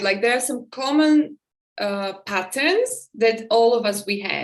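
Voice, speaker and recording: Fairly high-pitched and fairly slow, a woman speaks with ordinary pitch variation. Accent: Slovak. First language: Slovak. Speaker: podcast host and teacher. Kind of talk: casual interview.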